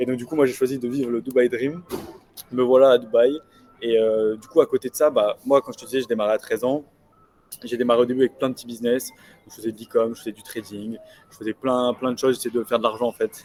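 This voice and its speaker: With music in the background, a man talks very fast in a medium pitch and a monotone, flat intonation, with long, frequent pauses, big swings in loudness and a dry, close sound with no echo. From southern France (Nice). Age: 20s. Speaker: young entrepreneur. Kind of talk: casual interview chat. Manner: hesitant, many fillers.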